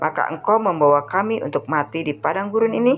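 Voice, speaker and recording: With music in the background, a woman speaks at a very fast pace and a fairly low pitch, her pitch swinging very widely. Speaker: Bible reader. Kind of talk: reading aloud.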